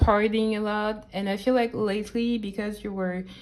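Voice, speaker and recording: A woman speaks at a medium pitch with a French accent. Her tone is dark and mellow. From France. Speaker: tarot reader. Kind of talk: tarot reading. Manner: halting; casual.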